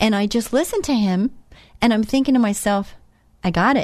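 A woman's fairly high voice, lively in intonation, at a fairly quick pace. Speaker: radio host. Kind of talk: faith-based radio talk. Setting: studio. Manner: fast.

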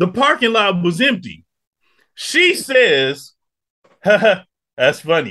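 Speaking very slowly with long, frequent pauses, a man uses a raised, projected voice. His pitch is high and swings very widely. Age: 50s. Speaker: podcast host. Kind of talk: casual chat.

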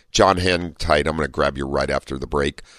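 Over music in the background, a man speaks at a fairly quick pace with lively intonation. The sound is dry and close, with no echo. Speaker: radio host. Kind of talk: call-in radio show.

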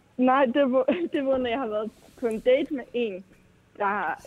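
A woman with a normal speaking voice talks at a fairly high pitch and a fairly slow pace. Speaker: caller. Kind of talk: call-in conversation. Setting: phone call.

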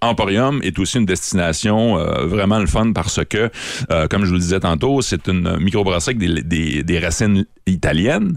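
Very deep and low in pitch, a man speaks at a moderate pace with lively intonation and very even loudness. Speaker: beer columnist. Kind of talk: radio chat. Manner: animated.

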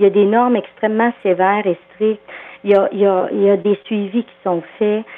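Noticeable background noise sits under a woman who talks at a moderate pace, her medium-pitched voice monotone and flat. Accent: Quebec. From Quebec, farming background. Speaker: agricultural psychologist. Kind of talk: phone interview.

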